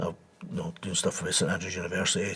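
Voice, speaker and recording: Here is a man talking. He has an Edinburgh accent. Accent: Scottish (Edinburgh). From Scotland, Edinburgh. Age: 60s. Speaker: embalmer and reconstruction trainer. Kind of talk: interview. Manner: conversational, repetitive.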